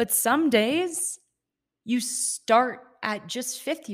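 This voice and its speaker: A woman speaks in an animated tone. Her pitch moves in very wide swings. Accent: US Midwestern. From Ohio, US Midwest. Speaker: podcast host and mindset coach. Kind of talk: casual solo podcast monologue.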